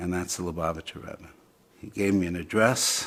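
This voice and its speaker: A man with a very deep, low pitch talks in a monotone, flat intonation at a moderate pace. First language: Yiddish. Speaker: interviewee telling his story. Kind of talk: testimony. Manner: hesitant, many fillers.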